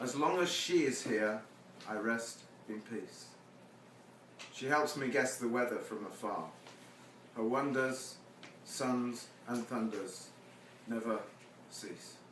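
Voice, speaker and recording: A man speaks very slowly, with long, frequent pauses, while noticeable background noise carries on. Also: medium pitch for a man, ordinary pitch variation. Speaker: poet. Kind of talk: poetry reading. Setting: live performance before audience.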